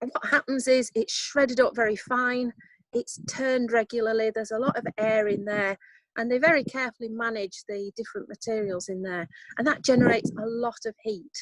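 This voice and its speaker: A woman with a Yorkshire accent speaks at a fairly quick pace, the sound dry and close with no echo. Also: fairly high pitch for a woman, ordinary pitch variation. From Yorkshire, northern England. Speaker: composting workshop leader. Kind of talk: online workshop talk. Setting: outdoors on a video call. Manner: hesitant, many fillers.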